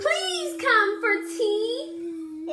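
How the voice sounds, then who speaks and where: A squeaky, female-sounding put-on character voice sits at an extremely high pitch. Loud background noise is present. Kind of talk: bedtime story. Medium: read story. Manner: gentle, sighing.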